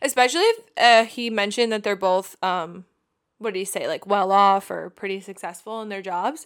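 On a very clean recording with a silent background, a woman with an American accent speaks at a medium pitch and moderate pace, in an animated tone with ordinary pitch variation and big swings in loudness. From Long Island, New York. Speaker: podcast co-host. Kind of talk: casual chat. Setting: home studio.

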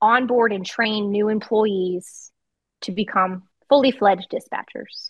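A woman with an American accent, a plain, everyday voice, fairly high pitch and ordinary pitch variation. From Virginia. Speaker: 911 dispatcher and training officer. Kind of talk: interview, casual chat.

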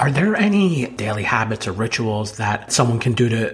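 This man has an ordinary speaking voice, medium in pitch, and talks at a fairly quick pace. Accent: American. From New Jersey. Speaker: podcast host, financial advisor. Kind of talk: casual interview.

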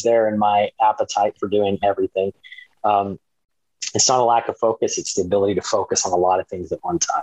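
Recorded dry and close with no echo, a man talks with an American accent. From Texas, Dallas and East Texas. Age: 50s. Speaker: entrepreneur and professor. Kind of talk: interview. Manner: animated.

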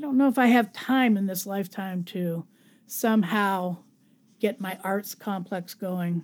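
A woman in a normal speaking voice, medium in pitch, fairly slow, with ordinary pitch variation, in a very clean recording with a silent background. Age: 60s. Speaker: podcast host, former creative writing teacher. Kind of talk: solo podcast monologue.

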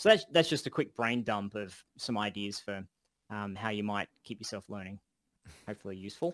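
With an Australian accent, a man talks at a fairly quick pace in a fairly low pitch, his loudness swinging widely in a dry, close sound with no echo. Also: ordinary pitch variation. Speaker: game development course instructor and podcast co-host. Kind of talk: casual chat, live Q&A. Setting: online voice call. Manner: animated.

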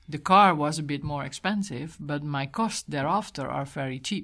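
Against a quiet background, a woman with a very deep, low pitch and vocal fry speaks at a moderate pace with a Dutch accent. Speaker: environmental organization director. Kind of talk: interview.

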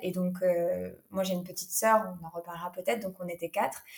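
Woman at medium pitch with fairly even intonation. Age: 20s. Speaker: yoga teacher and naturopath. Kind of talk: personal testimony interview. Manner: hesitant, many fillers.

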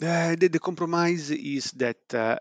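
A man speaking at a very slow pace, with a dry, close sound with no echo and a quiet background. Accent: Italian. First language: Italian. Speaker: preclinical toxicologist. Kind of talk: interview. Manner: hesitant, many fillers.

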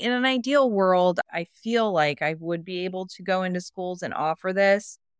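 A very clean recording with a silent background, a dry, close sound with no echo, and a moderate pace. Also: woman. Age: 40s. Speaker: teacher and instructional coach. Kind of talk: coaching session conversation.

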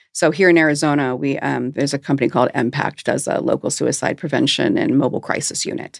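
Very fast speech from a woman with an American accent, dry and close with no echo. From US Midwest, Michigan. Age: 50s. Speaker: hypnotherapist. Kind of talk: interview. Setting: studio.

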